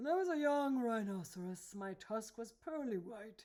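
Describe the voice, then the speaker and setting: The put-on character voice sits fairly high in pitch and moves at a moderate speed. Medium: read story. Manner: angry, gloomy.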